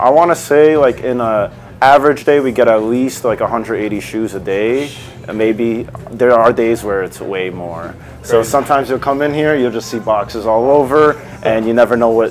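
Ordinary pitch variation at a moderate pace over light background noise. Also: man. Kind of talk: interview answer. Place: shop. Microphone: lapel.

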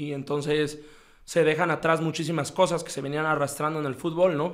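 A man speaks against a quiet background. His pitch is fairly high for a man. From Mexico. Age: 30s. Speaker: football coach. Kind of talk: casual interview. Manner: halting, frequent repetitions. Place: studio. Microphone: studio mic.

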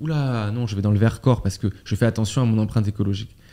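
Very fast and fairly even in intonation, a man's speech carries a dark, mellow tone. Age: 20s. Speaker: podcast host. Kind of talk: casual interview chat. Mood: casual, conversational. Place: studio. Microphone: studio mic.

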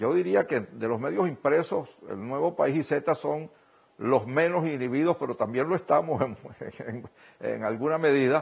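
This man talks at a moderate pace with ordinary pitch variation and vocal fry. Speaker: media director. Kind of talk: news interview. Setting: remote link. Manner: halting. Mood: calm, serious. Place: home room. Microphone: lapel.

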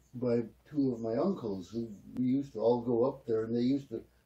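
A man is speaking here. His voice is somewhat breathy. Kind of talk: interview answer. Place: home room. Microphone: camera far.

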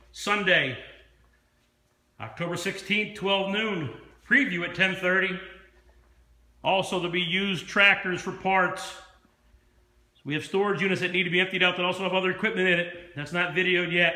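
A man with an American accent uses a raised, projected voice at a high pitch, with fairly even intonation. He keeps a moderate pace with long, frequent pauses, and room echo is audible. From Pennsylvania, USA. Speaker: auctioneer. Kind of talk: auction promotional announcement to camera. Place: shop. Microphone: phone near.

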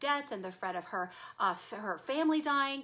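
A woman with an American accent, a bright, sharp and warm tone, lively intonation and a moderate pace. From Texas. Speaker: self-help video host. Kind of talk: live-stream talk to viewers. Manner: warm, conversational. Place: home room. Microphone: webcam.

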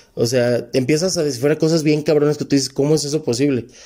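A man speaks at a fairly high pitch with a dark, mellow tone. The background is quiet. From Mexico. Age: 30s. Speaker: numerology reader, podcast guest. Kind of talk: casual chat. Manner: animated. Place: studio. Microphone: handheld.

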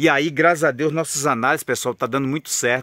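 The sound is dry and echo-free, set against a quiet background. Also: man. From Brazil. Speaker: trading analyst and course seller. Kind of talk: sales pitch. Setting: outdoors on a farm, under a tree. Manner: persuasive, urgent, chatty pitchman; folksy and friendly, deadline-driven. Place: garden. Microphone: phone near.

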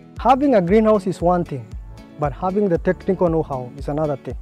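A man talks at a fairly quick pace with ordinary pitch variation. Faint music plays in the background, and the sound is dry with no echo. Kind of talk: interview answer.

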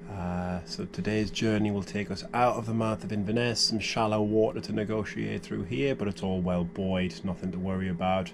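Against noticeable background noise, a man with a fairly low pitch speaks at a moderate pace with fairly even intonation. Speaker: sailing vlogger. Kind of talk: casual vlog chat. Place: boat. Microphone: phone near.

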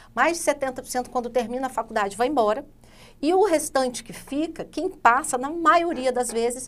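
A woman speaks at a high pitch. Her pitch moves in an ordinary way. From Rondônia, Brazil (born in Santa Catarina). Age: 40s. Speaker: politician, Senate candidate. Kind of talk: interview. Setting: studio. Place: studio. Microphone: lapel.

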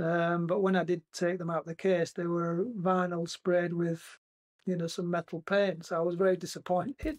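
A man with a high pitch speaks at a moderate pace in a flat monotone, recorded dry and close with no echo over a quiet background. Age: 60s. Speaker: former band drummer. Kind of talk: interview. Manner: hesitant, many fillers.

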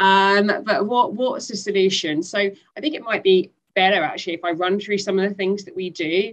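A woman with a British accent, medium pitch, ordinary pitch variation and a fairly quick pace, over a quiet background. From UK. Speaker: speaker. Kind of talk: webinar panel discussion. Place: home room. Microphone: headset.

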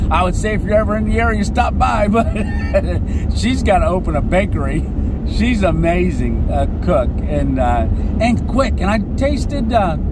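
At a moderate pace, the voice comes through dry with no echo, over loud background noise. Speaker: traveling vlogger driving. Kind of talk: casual vlog chat. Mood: cheerful, grateful. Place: car. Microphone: phone near.

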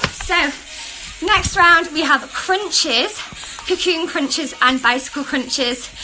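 Over clear background music, a woman with an extremely high pitch speaks at a fairly slow pace with ordinary pitch variation. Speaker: fitness instructor. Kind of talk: workout coaching.

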